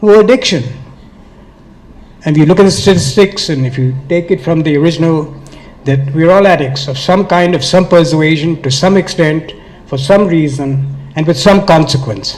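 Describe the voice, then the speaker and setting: A man's fairly high pitch at a moderate pace, with ordinary pitch variation and noticeable background noise. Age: 70s. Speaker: author and addiction speaker. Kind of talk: speech at event. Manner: passionate.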